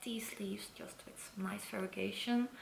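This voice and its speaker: A woman of medium pitch at a moderate pace, with audible room echo and noticeable background noise. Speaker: plant collector youtuber. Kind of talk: show and tell video.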